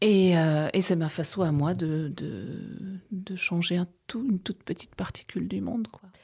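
Somewhat breathy, a woman speaks at a fairly slow pace with a fairly low pitch and ordinary pitch variation. The recording is very clean, with a silent background. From Alsace, France (Bruche valley). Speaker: novelist, former midwife. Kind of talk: interview.

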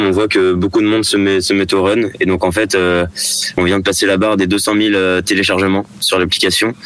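Noticeable background noise sits behind the speech. A man talks at a fairly quick pace in a fairly low pitch. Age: 20s. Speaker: product manager at a sports retailer. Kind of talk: radio interview.

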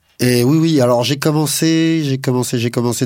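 A man with an ordinary speaking voice keeps a moderate pace, and his pitch varies in an ordinary way. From Paris suburbs, France. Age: 40s. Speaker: cheesemaker, former railway engineer. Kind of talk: interview. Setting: studio.

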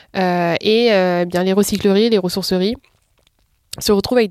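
A woman talks at a medium pitch. Her intonation is monotone and flat. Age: 20s. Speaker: entrepreneur. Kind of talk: interview.

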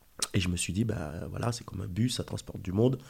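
In a dark, mellow tone, a man speaks at a fairly low pitch and a fairly quick pace. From Haiti. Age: 40s. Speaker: watch dealer and entrepreneur. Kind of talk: interview. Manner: halting, frequent repetitions.

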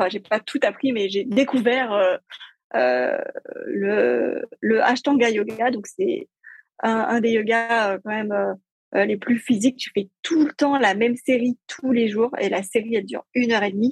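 Fairly high-pitched, somewhat breathy woman's voice with ordinary pitch variation, dry and close with no echo. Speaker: entrepreneur and lifestyle blogger. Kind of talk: casual interview. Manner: joyful, simple delivery.

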